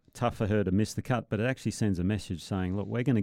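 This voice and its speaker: Against a quiet background, a man with an Australian accent speaks in a fairly low pitch with a dark, mellow tone. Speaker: podcast co-host, former professional golfer. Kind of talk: casual chat.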